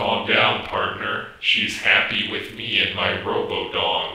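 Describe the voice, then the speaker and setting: Someone uses a put-on character voice at a fairly slow pace, with slight echo. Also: man, extremely high pitch for a man. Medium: short film. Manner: stiff, formal, literal.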